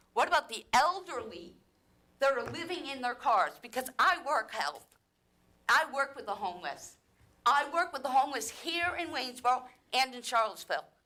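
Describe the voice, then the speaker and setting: Raised and projected, a woman's voice rings bright and sharp at a high pitch, with lively intonation, big swings in loudness and a moderate pace. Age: 60s. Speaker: resident speaking at public comment. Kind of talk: public comment at council meeting. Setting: city council meeting chamber. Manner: animated, exasperated.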